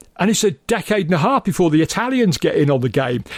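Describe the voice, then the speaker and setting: A man talks at a fairly quick pace with an English accent and a high pitch that swings very widely. The recording is very clean, with a silent background. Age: 60s. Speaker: film podcast co-host. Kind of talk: casual chat.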